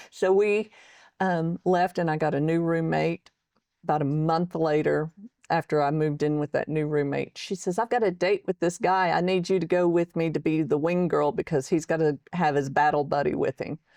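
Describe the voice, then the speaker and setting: Fairly low in pitch, a woman speaks in a dark, mellow tone with fairly even intonation and very even loudness. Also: moderate pace, dry, close sound with no echo. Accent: Texan. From Texas. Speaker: military veteran and author. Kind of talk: interview testimony.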